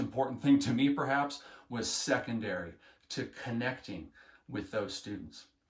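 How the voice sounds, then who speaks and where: A man's enthusiastic voice with vocal fry. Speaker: health education teacher trainer. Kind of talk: instructional talk. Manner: earnest, enthusiastic.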